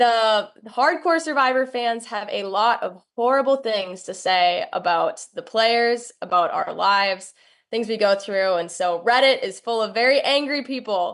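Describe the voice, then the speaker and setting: A woman with a Minnesotan accent speaks at a fairly slow pace with hardly any pauses, her fairly high pitch carried by lively intonation. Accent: Minnesota. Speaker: doctoral student and reality show contestant. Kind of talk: interview.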